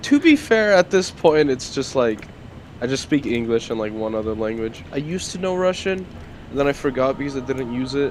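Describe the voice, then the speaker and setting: Over noticeable background noise, a man talks fairly quickly at a medium pitch with lively intonation. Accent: non-native. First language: not English. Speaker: animation community member on a stream. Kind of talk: casual chat.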